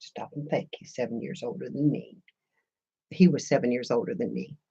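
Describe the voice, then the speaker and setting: With an American accent and a dark, mellow tone, the voice moves at a moderate pace, showing vocal fry, very wide pitch swings and big swings in loudness. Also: woman, very deep, low pitch for a woman. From Missouri. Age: 60s. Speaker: craft YouTuber. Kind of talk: casual live-stream chat. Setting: live stream. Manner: chatty, warm.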